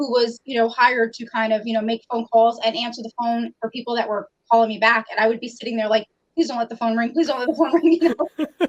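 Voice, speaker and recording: A woman with a New York accent at a very fast pace, fairly high in pitch with fairly even intonation, in a dry, close sound with no echo. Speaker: customer service trainer. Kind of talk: interview.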